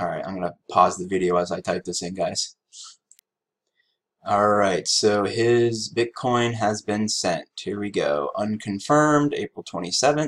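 A man's fairly low voice, ordinary pitch variation and a fairly slow pace over a quiet background. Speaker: crypto trading youtuber. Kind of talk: casual screen-recorded tutorial. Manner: low energy; hesitant, many fillers. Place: home room.

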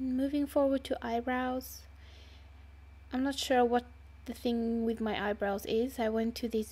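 Speaking at a fairly slow pace with a non-native accent, a woman is heard on a very clean recording with a silent background. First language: not English. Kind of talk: makeup tutorial voiceover. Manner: casual, hesitant.

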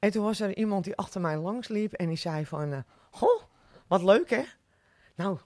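A woman at a moderate pace with lively intonation and long, frequent pauses, dry sound with no echo, and a quiet background. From West Friesland, Netherlands (Oude Niedorp); West Friesland. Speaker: restaurant owner; podcast guest. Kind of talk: casual interview. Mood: cheerful, smiling. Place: studio. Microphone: studio mic.

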